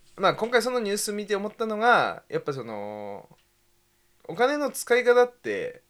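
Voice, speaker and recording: On a very clean recording with a silent background, a man speaks at a moderate pace with long, frequent pauses. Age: 20s. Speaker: podcast co-host. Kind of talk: casual chat.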